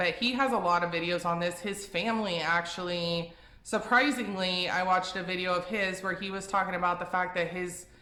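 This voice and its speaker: A woman's medium-pitched voice at a fairly quick pace, with ordinary pitch variation, noticeable background noise and audible room echo. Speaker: vegan lifestyle youtuber. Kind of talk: casual vlog advice talk. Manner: rambling, tripping over words; casual, filler-heavy.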